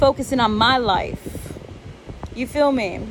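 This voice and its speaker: Loud, animated speech with ordinary pitch variation over noticeable background noise. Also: woman. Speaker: vlogger. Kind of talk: casual vlog rant.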